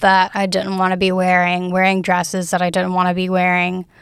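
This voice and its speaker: A woman with an American accent talks at a medium pitch on a very clean recording with a silent background. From US South, Alabama Gulf Coast. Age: 20s. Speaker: university student. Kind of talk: interview.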